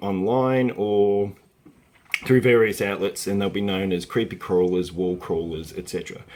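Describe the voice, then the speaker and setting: There is noticeable background noise as a man with an Australian accent talks at a moderate pace in a fairly low pitch. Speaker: early years educator. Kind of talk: tutorial. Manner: halting, with fillers.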